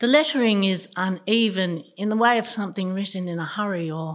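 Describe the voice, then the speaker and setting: On a very clean recording with a silent background, a woman with an Australian accent speaks at a moderate pace and medium pitch, with ordinary pitch variation. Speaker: storyteller. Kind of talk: storytelling performance.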